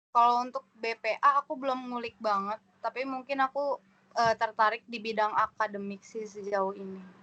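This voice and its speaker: An unremarkable speaking voice from a woman, fairly high in pitch, at a moderate pace with big swings in loudness. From Indonesia, East Jakarta. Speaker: new university student. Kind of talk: casual introduction chat.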